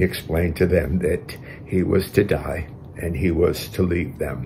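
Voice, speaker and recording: A man speaks at a fairly slow pace with a very deep, low pitch. Light background noise sits behind him. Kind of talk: sermon. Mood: calm, reverent. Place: home room. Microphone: webcam.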